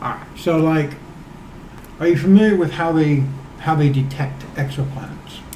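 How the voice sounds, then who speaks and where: Fairly high in pitch, a man speaks with fairly even intonation and long, frequent pauses. Audible room echo and noticeable background noise surround him. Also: moderate pace. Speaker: guest explaining science. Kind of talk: casual chat. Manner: stuttering at times.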